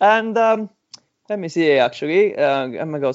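A man with an Italian accent and ordinary pitch variation. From Sicily, Italy. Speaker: mountain biker and charity fundraiser. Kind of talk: casual interview chat.

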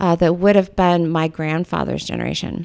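This woman has an unremarkable speaking voice, fairly low in pitch, and talks at a fairly quick pace with fairly even intonation and an American accent. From US Pacific Northwest. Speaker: art professor and photographer. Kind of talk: casual interview.

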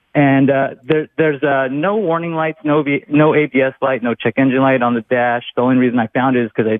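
A man with an American accent speaks at a very fast pace with hardly any pauses. His pitch sits in the medium range, with ordinary pitch variation. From California. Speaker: caller with car trouble. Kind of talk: casual call-in describing car problem. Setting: phone call. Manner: halting, hesitant.

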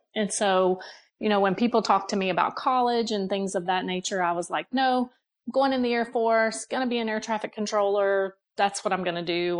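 A woman speaks with an American accent at a moderate pace and medium pitch. Hers is a normal speaking voice with ordinary pitch variation. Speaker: human resources director. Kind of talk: casual chat.

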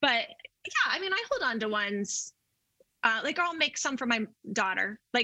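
Her voice is a plain, everyday voice, fairly high for a woman, moving at a moderate pace. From Colorado (Denver). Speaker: artist. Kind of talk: casual chat.

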